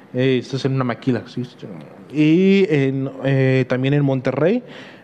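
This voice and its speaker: A man speaks at a medium pitch. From Mexico, Huejotzingo, Puebla. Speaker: podcast host. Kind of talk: solo podcast monologue. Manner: halting, many fillers.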